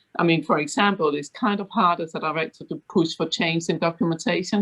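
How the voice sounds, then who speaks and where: Against a quiet background, a woman with a Danish accent talks at a fairly quick pace, her pitch fairly low with ordinary pitch variation. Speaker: fund board director. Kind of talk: panel discussion.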